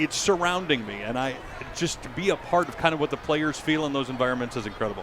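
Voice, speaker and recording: Very fast speech over noticeable background noise. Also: man, fairly high pitch for a man, ordinary pitch variation. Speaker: public address announcer for pro basketball and football teams. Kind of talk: interview answer.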